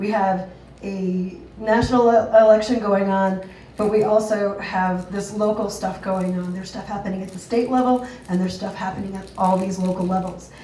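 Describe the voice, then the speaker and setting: A woman with an American accent talks at a fairly quick pace in a medium pitch, her intonation monotone and flat. Room echo is audible, along with noticeable background noise. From US South, Georgia. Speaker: patient advocate. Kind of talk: public talk at open mic. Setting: open mic with audience.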